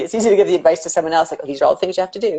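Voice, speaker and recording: A woman's medium-pitched voice with ordinary pitch variation, over noticeable background noise. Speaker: painter. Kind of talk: casual interview chat. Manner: fast.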